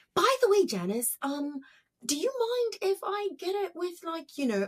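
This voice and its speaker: At a moderate pace, a squeaky, put-on character voice speaks at an extremely high pitch. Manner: cheerful, ingratiating.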